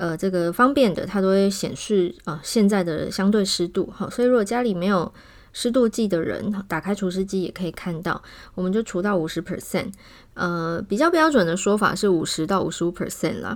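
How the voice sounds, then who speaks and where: On a very clean recording with a silent background, a woman talks at medium pitch with ordinary pitch variation. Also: fairly quick pace. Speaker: pediatrician podcast host. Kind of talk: health talk monologue. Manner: casual, many filler words.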